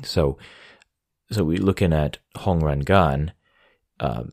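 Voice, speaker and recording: A man with an American accent speaks at a very deep, low pitch with ordinary pitch variation. The sound is dry and close with no echo, on a very clean recording with a silent background. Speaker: history podcast host. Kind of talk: scripted narration. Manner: halting, many fillers and repeated words.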